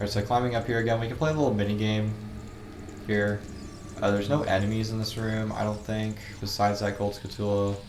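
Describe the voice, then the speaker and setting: Amid audible room echo, a man with a fairly low voice speaks at a very fast pace with fairly even intonation and long, frequent pauses. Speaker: gaming video creator. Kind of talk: let's play commentary. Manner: casual, filler-heavy.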